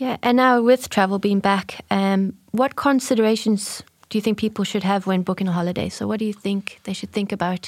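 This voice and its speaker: On a very clean recording with a silent background, a woman speaks at a medium pitch. She moves at a fairly quick pace with hardly any pauses. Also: fairly even intonation. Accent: South African. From South Africa. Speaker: marketing manager and podcast co-host. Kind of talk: casual chat.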